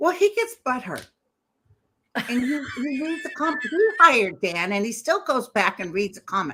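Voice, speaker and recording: A woman projects her raised, high-pitched voice in a bright, sharp tone. She keeps a moderate pace while her pitch swings very widely. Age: 60s. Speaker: psychic medium YouTuber. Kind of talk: casual chat.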